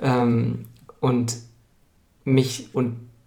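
Audible room echo surrounds a man whose dark, mellow tone carries vocal fry and a monotone, flat intonation. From Munich, Bavaria. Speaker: strategist and organisational consultant. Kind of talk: interview. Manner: halting, many filler sounds.

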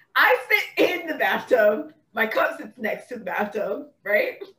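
Her voice raised and projected, a woman speaks in a bright, sharp tone at a fairly slow pace. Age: 30s. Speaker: body-awareness and self-love coach. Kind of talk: casual chat.

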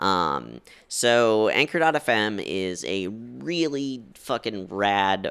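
This loud voice makes very wide swings in pitch. The recording is very clean, with a silent background. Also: man. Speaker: podcast co-host. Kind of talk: casual chat.

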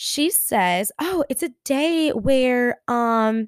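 A woman with a high-pitched, animated voice is recorded very cleanly against a silent background, the sound dry and close with no echo. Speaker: podcast host. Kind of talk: casual storytelling monologue.

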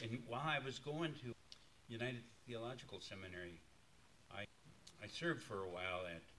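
A man speaks with an American accent. His tone is bright and sharp. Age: 70s. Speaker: pastor. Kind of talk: sermon. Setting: church.

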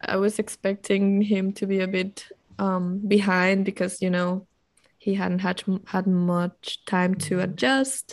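The woman's intonation is monotone and flat at medium pitch. She speaks at a fairly slow pace. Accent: non-native. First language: not English. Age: 20s. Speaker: podcast co-host. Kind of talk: casual chat.

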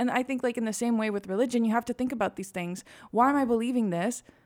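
This woman has an ordinary speaking voice, fairly high in pitch with ordinary pitch variation, captured on a very clean recording with a silent background. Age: 20s. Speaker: student podcast host. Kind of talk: casual chat.

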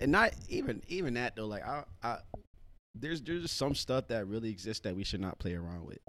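A man speaks at a medium pitch with very wide pitch swings and a fairly quick pace. The recording is very clean, with a silent background. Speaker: podcast co-host. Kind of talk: casual chat.

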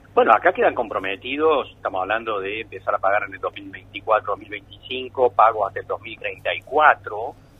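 Speaking fairly slowly, a man shows big swings in loudness. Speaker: economist. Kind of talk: radio interview.

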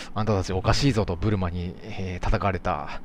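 A man speaks in a very deep, low voice. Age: 30s. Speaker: podcast host. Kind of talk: casual chat.

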